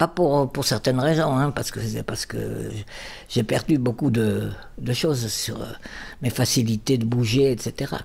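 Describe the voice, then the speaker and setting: The speaker talks at a fairly slow pace with vocal fry. Pitch variation is ordinary. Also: woman, very deep, low pitch for a woman. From Bordeaux, raised in the Basque Country. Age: 80s+. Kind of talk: life-story interview answer.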